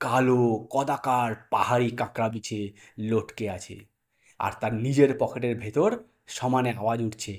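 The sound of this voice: An unforced reading voice with fairly even intonation, set against a quiet background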